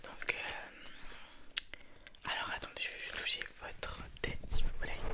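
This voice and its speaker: A whisper moves along very slowly with noticeable noise in the background. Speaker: ASMR creator doing a sleep-clinic roleplay. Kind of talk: ASMR roleplay, clinic receptionist/practitioner talking to the listener. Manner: whispered, soft-spoken.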